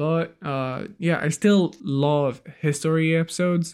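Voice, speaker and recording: Very slowly, a man speaks in a fairly high pitch with ordinary pitch variation. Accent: non-native. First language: not English. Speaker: podcast host. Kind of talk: casual chat.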